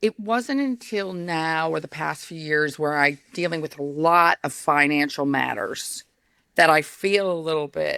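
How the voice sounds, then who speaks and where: A loud woman's voice in an American accent, bright and sharp, fairly low in pitch, with lively intonation at a fairly slow pace, in a very clean recording with a silent background. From New York, US. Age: 50s. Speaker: company founder and CEO. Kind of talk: interview conversation.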